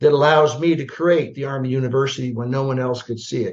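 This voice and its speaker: A man with an American accent talks in a medium pitch. His voice is somewhat breathy. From US Midwest. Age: 60s. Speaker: retired army general. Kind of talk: interview conversation. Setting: podcast. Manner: animated, with many fillers.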